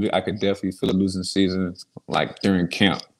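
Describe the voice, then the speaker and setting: Against a quiet background, a man talks at a very fast pace. He has a fairly low pitch and an American accent. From South Florida, West Palm Beach; South Florida. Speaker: former college football player; podcast guest. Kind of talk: casual interview. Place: home room. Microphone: video call.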